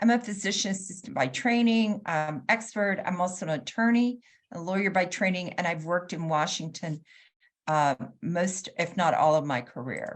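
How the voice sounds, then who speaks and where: With lively intonation and a somewhat breathy, medium-pitched voice, a woman speaks at a moderate pace. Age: 60s. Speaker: patient advocate and health consultant. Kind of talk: conference talk.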